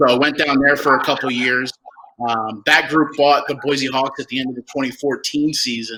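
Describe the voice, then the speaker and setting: With a New Jersey accent, a man with fairly high pitch speaks at a moderate pace in a monotone, flat intonation. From New Jersey, Toms River. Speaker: minor league baseball executive. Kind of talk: casual interview.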